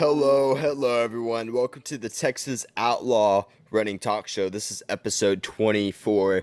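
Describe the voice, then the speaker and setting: A man with a normal speaking voice, moderate pace and hardly any pauses, in a dry, close sound with no echo. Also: medium pitch for a man, ordinary pitch variation. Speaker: podcast host. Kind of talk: podcast intro and interview questions. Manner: upbeat.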